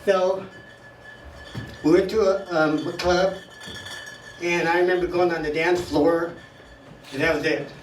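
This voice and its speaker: A high-pitched man speaks with monotone, flat intonation and long, frequent pauses. Noticeable background noise and audible room echo fill the recording. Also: fairly slow pace. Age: 70s. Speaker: stand-up comic at open mic. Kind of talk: stand-up. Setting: stage with audience.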